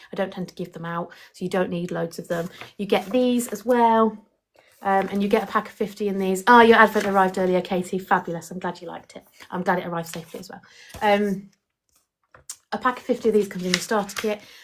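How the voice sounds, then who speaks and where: Talking at a very fast pace, a woman with an English accent keeps a fairly even intonation while her loudness swings widely. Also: medium pitch for a woman. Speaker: independent book sales partner recruiting others. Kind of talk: live stream recruitment talk answering chat questions. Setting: live stream with chat.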